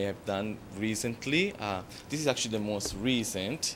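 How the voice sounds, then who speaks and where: With an Italian accent, a man speaks at a moderate pace and a fairly low pitch. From Italy, Florence. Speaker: makeup artist. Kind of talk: interview. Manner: hesitant, many fillers.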